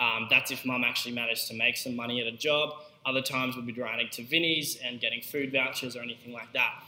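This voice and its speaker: Very fast and flat in a monotone, a man with a medium-pitched voice speaks in an Australian accent. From Queensland, Australia. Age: young. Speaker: podcast host and young entrepreneur. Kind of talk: unscripted solo monologue. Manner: casual, with fillers.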